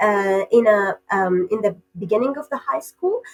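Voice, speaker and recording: In an Arabic accent, a woman speaks at a moderate pace with very wide pitch swings, the sound dry and close with no echo. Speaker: PhD candidate researcher. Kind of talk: podcast interview. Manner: hesitant with many fillers.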